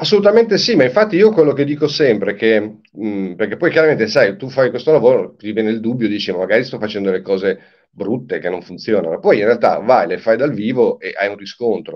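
A very fast-talking man at a medium pitch with lively intonation, against a quiet background. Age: 60s. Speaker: singer-songwriter; guest. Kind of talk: interview. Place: home room. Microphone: video call.

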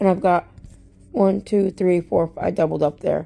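A woman with a dark, mellow tone and vocal fry speaks at a medium pitch. Her pace is fairly slow and her intonation fairly even. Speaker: product reviewer. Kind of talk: product show-and-tell.

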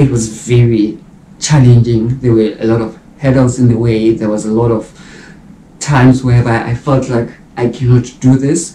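A man's somewhat breathy voice has a dark, mellow tone and a monotone, flat intonation, with light background noise and audible room echo. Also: moderate pace. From South Africa. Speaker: YouTuber and mature medical student. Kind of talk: vlog monologue. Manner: casual, conversational. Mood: reflective, earnest. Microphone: camera far.

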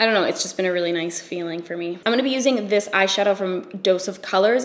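Speaking at a very fast pace, a woman rattles through her words. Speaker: beauty vlogger. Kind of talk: casual vlog chat while doing a makeup tutorial.

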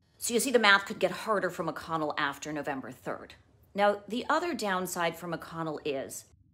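Calm in tone, a woman speaks at a moderate pace. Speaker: news journalist. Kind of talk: news explainer to camera. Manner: calm, clear. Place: home room. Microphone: phone near.

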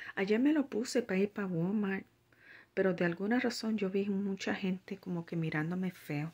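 A somewhat breathy woman's voice of medium pitch, with ordinary pitch variation at a moderate pace. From Puerto Rico. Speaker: religious vlogger. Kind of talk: religious vlog monologue; casual vlog chat with spiritual exhortation. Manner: halting, many fillers. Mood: earnest, concerned. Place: home room. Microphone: phone near.

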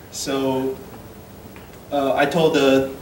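There is audible room echo and light background noise as a man speaks with fairly even intonation. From Taiwan. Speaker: software developer; conference presenter. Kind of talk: conference talk. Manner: halting. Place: hall.

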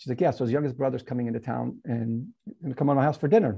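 The voice is somewhat breathy and the delivery runs at a very fast pace. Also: man. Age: 50s. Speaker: fitness and nutrition expert. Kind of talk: interview.

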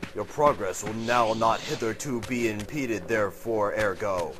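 A man puts on a character voice at medium pitch. Background noise comes through clearly. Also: moderate pace. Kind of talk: pompous archaic formal. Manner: booming, grandiose.

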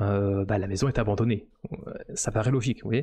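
Somewhat breathy and dark, mellow in tone, a man speaks at a moderate pace with ordinary pitch variation. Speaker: 3D modeling streamer. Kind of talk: live stream commentary. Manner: hesitant, many fillers. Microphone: studio mic.

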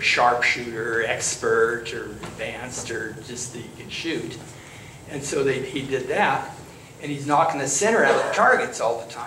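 With noticeable background noise behind him, a man talks with big swings in loudness and ordinary pitch variation. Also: moderate pace. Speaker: church storyteller. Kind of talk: storytelling to a congregation. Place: church. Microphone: handheld.

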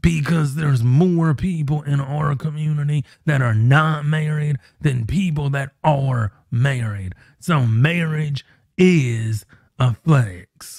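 A man speaks at a very slow pace, somewhat breathy, with ordinary pitch variation, a dry sound with no echo and a quiet background. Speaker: channel host. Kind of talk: opinion commentary vlog. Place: home room. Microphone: studio mic.

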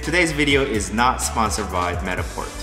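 Clear music plays in the background as a man talks at a fairly quick pace. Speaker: tech reviewer. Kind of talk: casual tutorial vlog. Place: kitchen.

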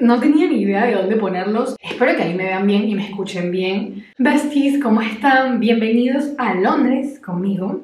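A woman's voice at a moderate pace with ordinary pitch variation, plus audible room echo. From Venezuela. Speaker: lifestyle vlogger. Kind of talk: casual talk to camera. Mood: warm, relaxed. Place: bathroom. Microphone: phone near.

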